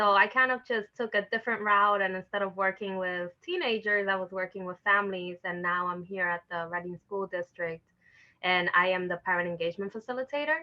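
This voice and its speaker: A woman speaks with a New York accent at a medium pitch and ordinary pitch variation. Her pace is fairly quick. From New York City, the Bronx (Dominican family). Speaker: educator, parent engagement facilitator. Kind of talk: interview. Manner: casual, many filler words.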